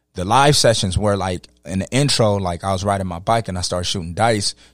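A man with a fairly low voice speaks in fairly even intonation, recorded dry and close with no echo, very clean with a silent background. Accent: American. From Los Angeles. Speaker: rapper and poet. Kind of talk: casual chat. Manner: halting, many fillers.

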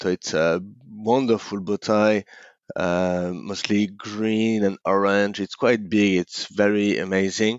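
The speaker has a French accent and fairly even intonation. The pace is very slow. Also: man. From France, Paris. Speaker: entrepreneur. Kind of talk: interview. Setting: at home.

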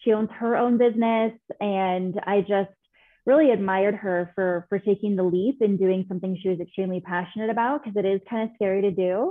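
With an American accent, a woman talks in an ordinary speaking voice at a medium pitch, a fairly quick pace and fairly even intonation. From California. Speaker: business consultant. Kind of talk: interview.

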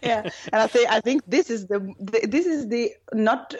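Spoken with lively intonation in a Norwegian accent. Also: woman. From northern Norway, small village. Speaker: rock singer. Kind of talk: interview. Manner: hesitant, many fillers.

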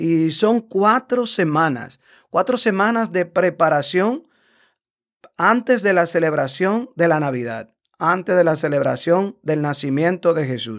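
A man talks at a high pitch and a fairly slow pace, with lively intonation. The recording is very clean, with a silent background. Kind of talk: casual explanatory interview.

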